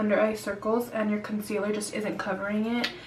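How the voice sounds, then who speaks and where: Over noticeable background noise and audible room echo, a woman talks at a moderate pace with a fairly high pitch. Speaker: beauty vlogger. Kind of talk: makeup tutorial. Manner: casual, chatty.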